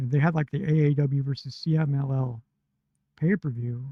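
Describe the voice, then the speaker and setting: A man's somewhat breathy voice with a dark, mellow tone, fairly high in pitch with ordinary pitch variation, at a moderate pace, in a dry, close sound with no echo. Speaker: wrestling podcast host. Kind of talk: casual podcast talk.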